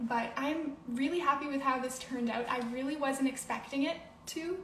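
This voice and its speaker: A woman in a Canadian accent at a moderate pace, with audible room echo. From Canada, Toronto. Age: 20s. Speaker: bullet journal artist and student. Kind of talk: live stream craft workshop.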